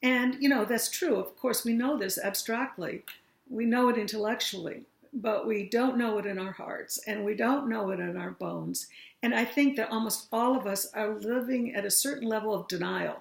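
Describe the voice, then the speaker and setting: A woman's fairly high voice with vocal fry, fairly even intonation and a moderate pace. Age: 60s. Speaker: aging workshop facilitator. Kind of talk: talk to an audience.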